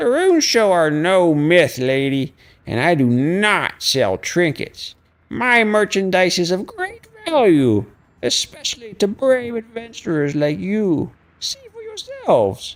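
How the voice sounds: A female-sounding put-on character voice speaks at medium pitch and a fairly slow pace.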